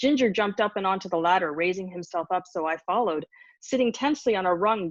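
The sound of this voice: An unforced reading voice carries the passage.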